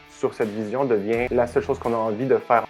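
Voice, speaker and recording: With music playing in the background, a man speaks in a Quebec accent. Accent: Québécois French. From Quebec, Canada. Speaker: coach. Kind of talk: podcast interview answer.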